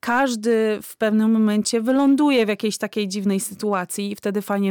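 A woman's unremarkable speaking voice at medium pitch and moderate pace, on a very clean recording with a silent background. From Poland. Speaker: immigrant rights activist. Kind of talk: interview.

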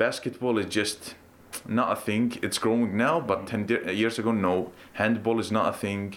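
Speaking in an Arabic accent, a man keeps a medium pitch, a moderate pace, very even loudness and fairly even intonation. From Iraq/Palestine, raised in Iceland. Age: 20s. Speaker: guest, bath attendant and football fan. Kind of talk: casual interview. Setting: at a swimming bath.

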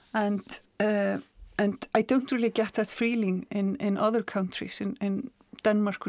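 In an Icelandic accent, a woman with a medium pitch speaks at a moderate pace in a monotone, flat intonation, with a dry, close sound with no echo and a very clean recording with a silent background. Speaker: journalist and author. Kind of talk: casual chat. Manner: halting.

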